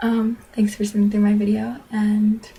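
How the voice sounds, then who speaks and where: Somewhat breathy and fairly high-pitched, a woman speaks in a dark, mellow tone. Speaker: vlogger. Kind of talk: casual vlog monologue.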